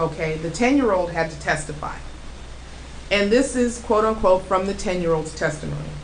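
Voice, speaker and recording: A woman at medium pitch with an American accent and ordinary pitch variation over noticeable background noise. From United States. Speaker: radio show host. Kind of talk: talk radio host monologue. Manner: casual, outspoken.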